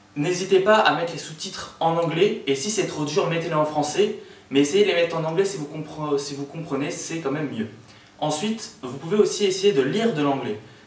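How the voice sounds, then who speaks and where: A man's high-pitched voice at a fairly quick pace, with ordinary pitch variation, audible room echo and noticeable background noise. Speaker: student tutor. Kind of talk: casual video explainer. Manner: hesitant, many fillers.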